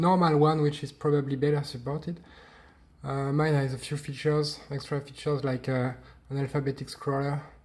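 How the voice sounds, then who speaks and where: A man speaks with a French accent at a fairly high pitch and a fairly quick pace. His voice is somewhat breathy, with monotone, flat intonation. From France. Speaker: hobbyist maker. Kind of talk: tutorial. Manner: halting.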